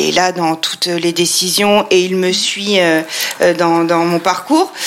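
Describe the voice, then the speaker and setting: A woman speaks very slowly in a medium pitch. Noticeable background noise runs behind her. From France, Troyes (Champagne). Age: 40s. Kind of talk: interview. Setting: her showroom. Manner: hesitant, many fillers.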